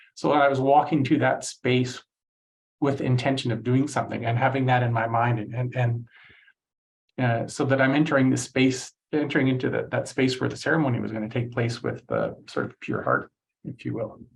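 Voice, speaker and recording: Speaking at a fairly quick pace, a man uses a medium pitch with vocal fry and monotone, flat intonation. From Canada, Cree from Saskatchewan region. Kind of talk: lecture. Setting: online session. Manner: halting, many fillers.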